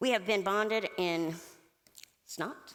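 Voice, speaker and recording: A woman speaks at medium pitch. Her voice carries audible room echo. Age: middle-aged. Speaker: church member giving testimony. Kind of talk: testimony. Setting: stage with audience. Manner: loud.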